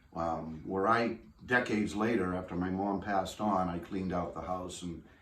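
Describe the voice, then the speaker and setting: Against audible room echo, a man with a very deep, low voice speaks at a moderate pace with fairly even intonation. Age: 60s. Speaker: family heirloom owner. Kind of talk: interview. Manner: halting.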